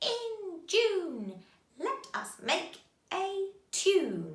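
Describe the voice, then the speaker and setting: A female-sounding, put-on character voice at an extremely high pitch for a woman. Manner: cackling.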